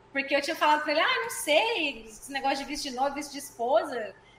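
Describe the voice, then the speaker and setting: A woman's high-pitched voice moves at a very fast pace, with noticeable background noise behind her. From Goiânia, Brazil. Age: 20s. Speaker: physical education teacher. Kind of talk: casual interview.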